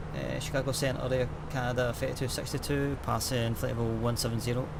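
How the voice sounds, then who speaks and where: Talking at a very fast pace with lively intonation and very even loudness, a man is heard with audible room echo and noticeable background noise. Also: medium pitch for a man. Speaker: flight sim streamer. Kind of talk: casual live stream chat with radio calls. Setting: home sim setup with three screens. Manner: halting, repeats words.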